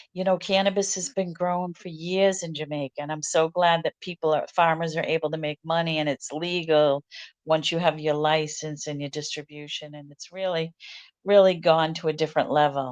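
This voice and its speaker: With an American accent, a woman speaks at a fairly quick pace in a monotone, flat intonation, her loudness swinging widely. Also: fairly low pitch for a woman, dry, close sound with no echo. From US Northeast, Boston. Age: 60s. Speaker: resort owner and real estate agent. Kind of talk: interview. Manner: casual, conversational.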